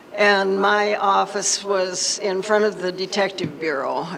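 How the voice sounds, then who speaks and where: The speaker has an American accent, and noticeable background noise is present. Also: woman. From Nevada, Henderson. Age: 70s. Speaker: retired fire department secretary. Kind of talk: public talk.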